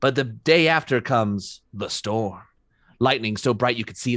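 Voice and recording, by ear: Someone reads aloud in a natural voice with a quiet background.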